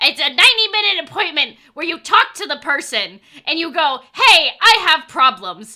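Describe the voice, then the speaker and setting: At a moderate pace, a woman projects a raised, high-pitched voice with a bright, sharp, animated tone and very wide pitch swings. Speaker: streamer. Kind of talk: casual chat. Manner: loud.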